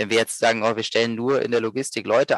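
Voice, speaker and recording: A man speaks at a fairly quick pace and medium pitch. The sound is dry and close with no echo, over a quiet background. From Berlin, Germany. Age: 30s. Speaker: social business co-founder. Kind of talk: podcast interview. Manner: halting, many repetitions and fillers.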